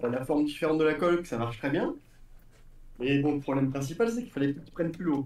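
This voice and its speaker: A man with a fairly high voice talks at a very fast pace but leaves long, frequent pauses, and audible room echo surrounds him. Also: ordinary pitch variation. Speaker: RC hobbyist; RC hobby streamer. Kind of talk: casual chat. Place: workshop.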